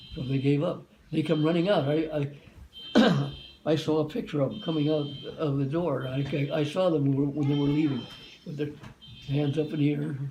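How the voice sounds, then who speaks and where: A man with a fairly high pitch and fairly even intonation talks at a fairly quick pace with long, frequent pauses, over noticeable background noise and audible room echo. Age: 90s. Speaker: war veteran. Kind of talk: interview. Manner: halting.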